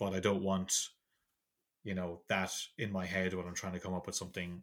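A man with an Irish accent speaks at a fairly quick pace in a very deep, low voice, on a very clean recording with a silent background. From Ireland. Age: 40s. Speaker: comic book artist and writer. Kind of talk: casual chat.

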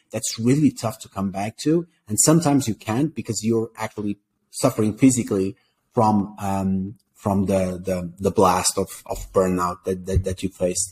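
Over a very clean recording with a silent background and a dry, close sound with no echo, a man with a Portuguese accent speaks at a moderate pace and fairly low pitch with ordinary pitch variation. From Portugal. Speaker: startup co-founder and executive. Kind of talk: interview conversation. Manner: halting, repeats words.

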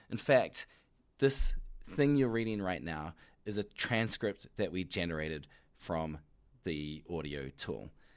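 A man with a New Zealand accent and a very deep, low pitch speaks at a fairly slow pace with long, frequent pauses and very wide pitch swings, in a very clean recording with a silent background. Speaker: company announcer presenting product features. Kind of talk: product announcement, spoken off the cuff. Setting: recorded into a microphone.

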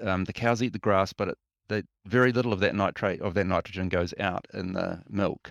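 Recorded very cleanly against a silent background, with a dry, close sound and no echo, a man with a New Zealand accent speaks at a moderate pace and fairly low pitch, his intonation fairly even. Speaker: freshwater ecologist. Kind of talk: interview. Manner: halting.

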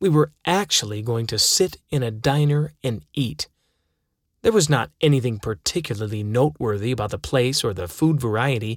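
Recorded very cleanly against a silent background with a dry, close sound and no echo, a man with an unremarkable speaking voice talks at a moderate pace and medium pitch with lively intonation. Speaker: audiobook narrator. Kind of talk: audiobook narration of a first-person memoir, wry and dramatic.

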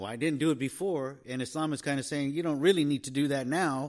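This man has a plain, everyday voice, fairly high in pitch. He talks at a fairly quick pace in a very clean recording with a silent background. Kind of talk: casual chat.

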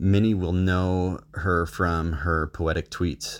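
On a very clean recording with a silent background, a man with a very deep, low pitch speaks at a very slow pace in a monotone, flat intonation. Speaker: listener contributor. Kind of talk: recorded audio message.

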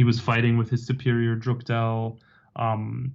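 A man speaks in a somewhat breathy voice. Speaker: political science professor and author. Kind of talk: interview about his book.

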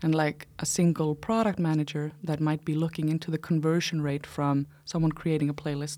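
A woman's very deep, low voice with a dark, mellow tone, an Icelandic accent, flat monotone intonation and a moderate pace. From Iceland, small town in the north. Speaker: startup founder and CEO. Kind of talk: casual interview. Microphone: close to the mic.

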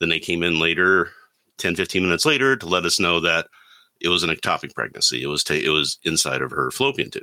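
Very deep, low male voice at a very fast pace, with vocal fry, lively intonation, and a very clean recording against a silent background. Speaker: panelist. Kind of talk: panel discussion, friendly debate.

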